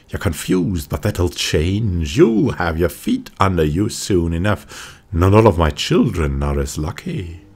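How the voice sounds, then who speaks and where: In a put-on character voice, a man sounds gruff with a very deep, low pitch, talking at a fairly slow pace. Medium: game stream. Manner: gruff, muttering, archaic phrasing.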